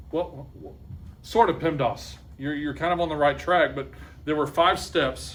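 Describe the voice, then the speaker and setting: A man with an American accent speaks at a fairly high pitch, his voice showing vocal fry. His loudness swings widely, and room echo is audible. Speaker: math teacher. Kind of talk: classroom lesson. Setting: classroom with students. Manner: fast; animated.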